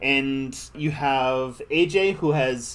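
Fairly high in pitch, a man with an American accent speaks with fairly even intonation. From United States. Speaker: podcast co-host. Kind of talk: casual chat.

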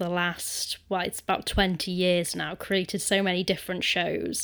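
This woman has a British accent and a medium pitch. Her recording is very clean, with a silent background. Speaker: podcast host. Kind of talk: casual interview.

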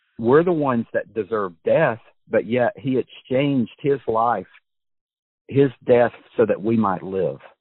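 A man with an unremarkable speaking voice of medium pitch talks at a fairly slow pace with ordinary pitch variation. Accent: American. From USA. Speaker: podcast host. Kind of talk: interview.

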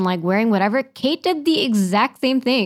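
A woman speaks fairly quickly with an American accent, in an ordinary speaking voice with fairly high pitch and lively intonation. The recording is very clean, with a silent background. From US, Kentucky and New York. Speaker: podcast guest. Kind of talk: casual chat. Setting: studio.

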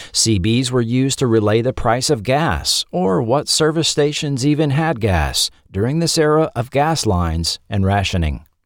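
With a normal speaking voice at medium pitch, a man talks at a moderate pace with lively intonation and hardly any pauses, on a very clean recording with a silent background. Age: middle-aged. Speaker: podcast host. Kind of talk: scripted narration.

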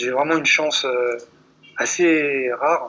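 A man's fairly high, bright and sharp voice with monotone, flat intonation. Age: 30s. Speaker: long-distance runner and writer. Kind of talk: interview. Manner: halting.

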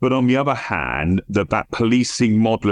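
Against a quiet background, a man with a southern English accent speaks at a moderate pace with ordinary pitch variation, the sound dry and close with no echo. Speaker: international police cybercrime director. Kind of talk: interview.

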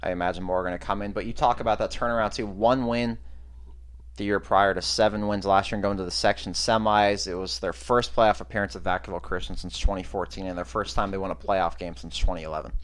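A man talks very fast with a very deep, low pitch and vocal fry. His pitch swings very widely. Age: 20s. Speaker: high school sports podcast host. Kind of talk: casual chat.

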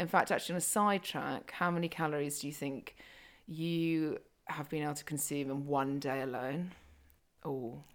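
On a very clean recording with a silent background, a woman with a very deep, low pitch speaks at a moderate pace with fairly even intonation. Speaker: podcast host and fitness coach. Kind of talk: casual chat. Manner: talkative.

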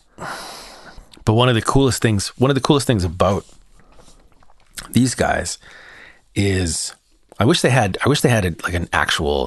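Using a raspy, put-on character voice, a man speaks with lively intonation. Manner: slurred speech.

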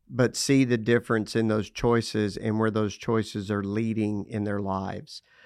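A man with a West Texas accent, fairly low pitch and monotone, flat intonation, at a moderate pace with hardly any pauses against a quiet background. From US South, Lubbock, Texas. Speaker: parenting speaker. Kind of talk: casual interview.

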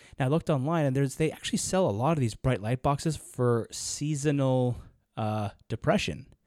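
This man has an unremarkable speaking voice at a medium pitch, with ordinary pitch variation and very even loudness. He talks at a fairly quick pace in a very clean recording with a silent background. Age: 30s. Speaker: podcast co-host. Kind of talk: casual chat.

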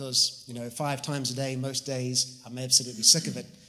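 With a New Zealand accent, a man talks at a moderate pace in a fairly high pitch and a bright, sharp tone. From New Zealand, Whangarei. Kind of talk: testimony.

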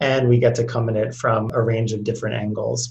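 A man's somewhat breathy voice at a fairly quick pace, with monotone, flat intonation. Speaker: healthcare policy consultant. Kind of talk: interview conversation.

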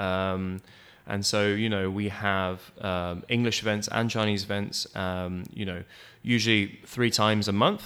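Fairly low in pitch and bright, sharp in tone, a man with a British accent speaks slowly-ish in a monotone, flat delivery on a very clean recording with a silent background. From United Kingdom. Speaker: community organization co-founder. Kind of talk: interview. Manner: hesitant, many fillers.

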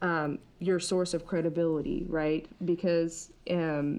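An ordinary speaking voice from a woman with an American accent, fairly low in pitch, with fairly even intonation. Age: 30s. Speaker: consultant. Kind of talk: casual chat.

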